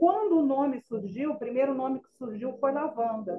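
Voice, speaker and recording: This woman's voice sits high in pitch. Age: 60s. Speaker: spiritist author and youth educator. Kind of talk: radio interview.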